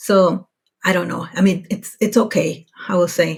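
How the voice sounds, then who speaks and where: A woman with an American accent speaks in a somewhat breathy, medium-pitched voice with fairly even intonation. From Mexico, US border town. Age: 40s. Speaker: podcast guest, working mother abroad. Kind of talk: casual interview chat. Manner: halting, many restarts.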